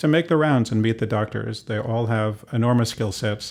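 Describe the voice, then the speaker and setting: A man's medium-pitched voice with vocal fry and ordinary pitch variation, at a fairly quick pace on a very clean recording with a silent background. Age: 60s. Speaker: physician. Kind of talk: interview.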